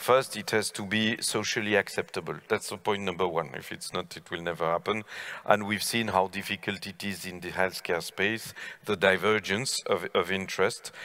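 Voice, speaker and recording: A man with a plain, everyday voice talks at a fairly low pitch, his intonation fairly even. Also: moderate pace, quiet background. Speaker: panel moderator giving conclusion. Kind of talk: panel discussion remarks. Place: stage. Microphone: headset.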